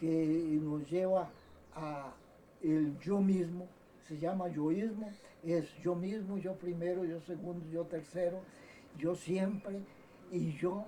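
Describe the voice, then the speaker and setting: A high-pitched man speaks at a very slow pace with fairly even intonation and long, frequent pauses. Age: 70s. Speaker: doctor, surgeon. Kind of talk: autobiographical recollection. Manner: halting, with many repetitions.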